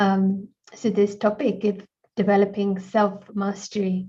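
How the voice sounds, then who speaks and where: A woman talks at a fairly slow pace in a somewhat breathy, dark, mellow voice with monotone, flat intonation. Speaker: meditation session host. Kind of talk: online talk moderation. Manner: hesitant, many fillers.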